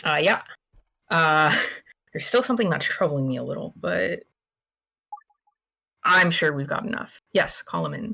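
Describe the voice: A put-on character voice, bright and sharp with vocal fry, lively intonation, a fairly slow pace and long, frequent pauses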